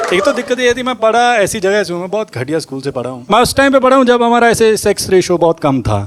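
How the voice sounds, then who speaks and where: With a Punjabi accent, a man with a high pitch speaks with very wide pitch swings and hardly any pauses over noticeable background noise. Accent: Punjabi-accented Hindi. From Punjab, India. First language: Punjabi (speaking Hindi). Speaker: stand-up comedian. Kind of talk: stand-up.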